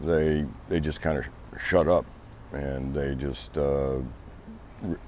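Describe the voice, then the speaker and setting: A man with a very deep, low pitch speaks at a fairly slow pace amid noticeable background noise. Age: 60s. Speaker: interviewee, local resident. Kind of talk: interview. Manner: halting.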